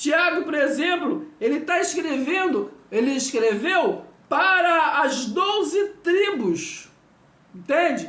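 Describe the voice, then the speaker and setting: With audible room echo, a woman speaks very slowly at an extremely high pitch, her intonation lively. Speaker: Bible teacher. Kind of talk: Bible teaching video lesson. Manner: slow, deliberate; repetitive, hesitant.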